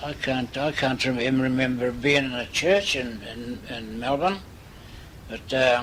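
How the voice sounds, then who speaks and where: A man talks at a fairly slow pace with noticeable noise in the background. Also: medium pitch for a man, ordinary pitch variation. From Malta. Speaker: migrant. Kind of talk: interview answer. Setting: home, cassette recording.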